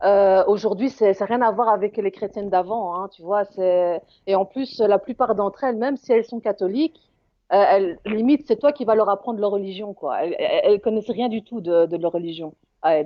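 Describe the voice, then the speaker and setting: Speaking at a fairly quick pace in a Belgian accent, a woman uses a medium pitch with ordinary pitch variation. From Belgium. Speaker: caller. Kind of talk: heated debate. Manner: halting.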